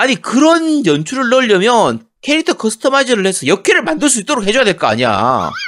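A man speaks at a very fast pace in an extremely high voice. His pitch swings very widely. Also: hardly any pauses. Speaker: gaming podcast co-host. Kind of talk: casual chat.

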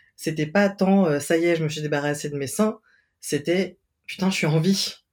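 A man's fairly high voice, an unremarkable speaking voice, moderate pace, ordinary pitch variation, very clean recording with a silent background. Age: 30s. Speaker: podcast guest, transmasculine person. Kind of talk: casual chat.

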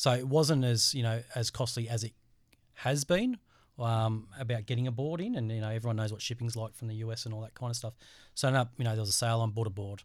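On a very clean recording with a silent background, a man with an Australian accent talks at a very fast pace with fairly even intonation. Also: medium pitch for a man. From Australia, Central Coast of New South Wales. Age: 40s. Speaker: bodysurfer. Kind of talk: casual interview. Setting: studio.

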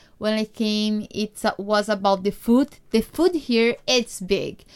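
A woman speaks very slowly with a Brazilian accent. Her intonation stays fairly even. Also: very clean recording, silent background. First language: Portuguese. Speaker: podcast host, immigrant. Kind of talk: casual podcast monologue and interview.

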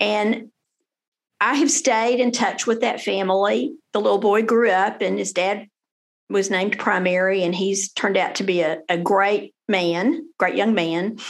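With a Texan accent, a woman speaks fairly slowly at a medium pitch, showing ordinary pitch variation, vocal fry and very even loudness. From Texas, Denton. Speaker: family lawyer. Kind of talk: interview.

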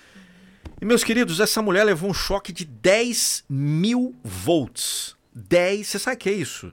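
On a very clean recording with a silent background, a man with a high pitch speaks at a fairly slow pace, animated in tone and lively in intonation. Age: 40s. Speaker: podcast host and motivational voice-over artist. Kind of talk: casual interview chat. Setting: studio.

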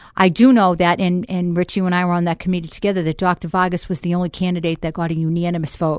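The speaker is a woman. She talks with a Boston accent. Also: very clean recording, silent background. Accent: Boston accent, noticeable. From Boston, Massachusetts. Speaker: school board member. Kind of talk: casual radio interview. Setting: radio studio. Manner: animated, jokey.

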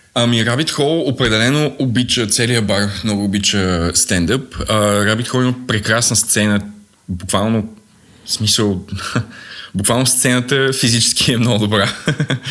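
A man talks in an unremarkable speaking voice at a medium pitch and moderate pace. His loudness is very even, with ordinary pitch variation. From Bulgaria, Sofia. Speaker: stand-up comedian. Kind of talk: casual chat.

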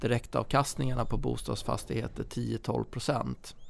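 A man talks at a fairly slow pace with vocal fry and ordinary pitch variation. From Stockholm, partly Småland. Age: 40s. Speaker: property company CEO. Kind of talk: podcast interview. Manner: some hesitation, repeated words.

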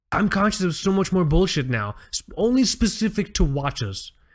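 The background is silent and the recording very clean. On it, a man talks at a moderate pace. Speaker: watch podcast co-host. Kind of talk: casual chat. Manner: rambling, repeats words.

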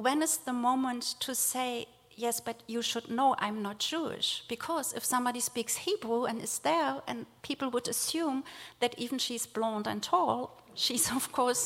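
A woman with a German accent speaks in a high voice at a fairly slow pace, with ordinary pitch variation. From Germany, rural village. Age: 40s. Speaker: theologian and nonprofit director. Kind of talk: speech. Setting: synagogue with audience.

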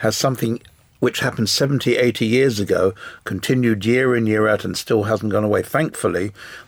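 At a very fast pace, a man with an English accent speaks at a medium pitch. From England. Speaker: business owner, panelist. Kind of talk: panel discussion. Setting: studio.

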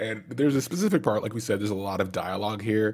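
A man speaks with ordinary pitch variation. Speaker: podcast host. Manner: storyteller, animated.

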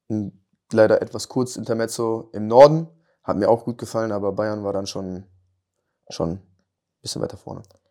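A man's fairly low voice has a dark, mellow tone, captured on a very clean recording with a silent background. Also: long, frequent pauses, big swings in loudness. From western Germany, Lower Rhine. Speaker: professional footballer. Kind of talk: podcast interview. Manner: halting, many fillers.

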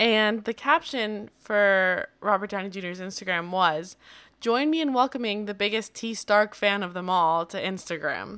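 A woman with a bright, sharp tone speaks at a fairly slow pace, recorded very cleanly over a silent background. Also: medium pitch for a woman, ordinary pitch variation. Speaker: podcast host. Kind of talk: casual chat.

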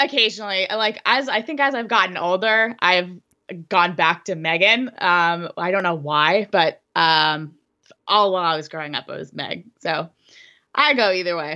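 With an American accent, a woman speaks in a bright, sharp tone with lively intonation against a quiet background. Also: medium pitch for a woman, moderate pace. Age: 30s. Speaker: skeleton athlete and army officer. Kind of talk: casual interview.

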